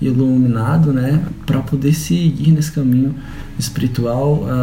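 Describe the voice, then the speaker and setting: The man's intonation stays fairly even, with audible room echo and noticeable background noise around him. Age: 20s. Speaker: holistic therapist. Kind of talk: casual chat. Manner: halting.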